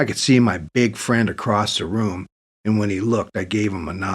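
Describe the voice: Plain reading aloud, heard over a quiet background.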